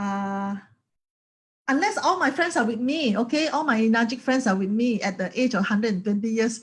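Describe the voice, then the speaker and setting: In a plain, everyday voice, a woman talks at a fairly quick pace and fairly high pitch with ordinary pitch variation over a quiet background. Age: 50s. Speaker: network marketing distributor. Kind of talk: motivational talk.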